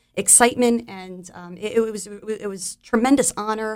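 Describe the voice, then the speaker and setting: With an American accent, a woman talks at a moderate pace in a fairly high voice, her intonation fairly even. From New Jersey, Monmouth County. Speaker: volunteer with military employer support group. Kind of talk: radio interview. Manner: halting, many fillers.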